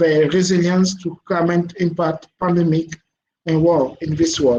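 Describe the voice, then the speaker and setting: A high-pitched man with a French accent, dark, mellow tone, monotone, flat intonation and a fairly slow pace. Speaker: panel speaker. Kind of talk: presentation.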